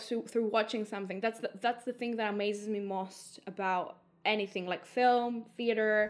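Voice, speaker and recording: On a very clean recording with a silent background, a woman with a Greek accent speaks at a fairly slow pace in a fairly high pitch with fairly even intonation. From Greece. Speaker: theatre and film director. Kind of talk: casual interview. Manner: hesitant, many fillers.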